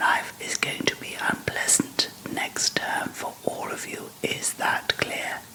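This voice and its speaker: The voice is whispering at a very slow pace. Noticeable background noise can be heard. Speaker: ASMR whisper reader. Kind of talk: whispered narration with dialogue. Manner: whispered, relaxing.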